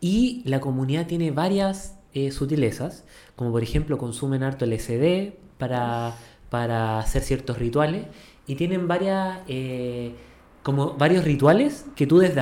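The speaker talks at a fairly slow pace with a Chilean accent. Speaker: podcast co-host. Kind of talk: casual chat.

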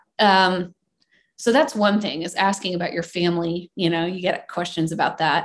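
A woman with an American accent, an ordinary speaking voice, fairly low pitch, ordinary pitch variation and a moderate pace. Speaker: songwriter and singer. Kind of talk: casual interview chat.

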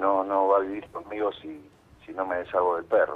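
A man's very deep, low voice in a monotone with flat intonation. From Argentina, Santa Fe province. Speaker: actor and writer calling a radio show. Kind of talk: phone-in conversation, staged story.

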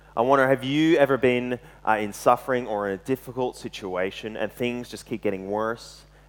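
A medium-pitched man talks at a moderate pace with ordinary pitch variation and big swings in loudness. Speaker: lay preacher. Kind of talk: sermon. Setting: church.

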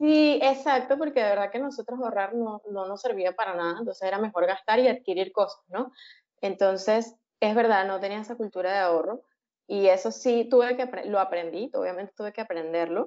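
A woman speaks fairly quickly at a medium pitch, with ordinary pitch variation. It is a normal speaking voice. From Venezuela, Caracas. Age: 30s. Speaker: software engineer. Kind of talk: casual interview.

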